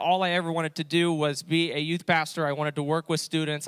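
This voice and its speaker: A man with a fairly high voice talks at a fairly quick pace. The recording is very clean, with a silent background and a dry, close sound with no echo. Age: 20s. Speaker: youth pastor. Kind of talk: testimony. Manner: halting, many fillers.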